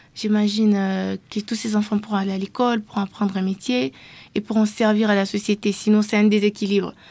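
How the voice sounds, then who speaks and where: A woman talks at a fairly quick pace in a dark, mellow tone. Her intonation stays monotone and flat. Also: medium pitch for a woman. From DR Congo, Kinshasa. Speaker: youth activist. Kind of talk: interview. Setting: studio.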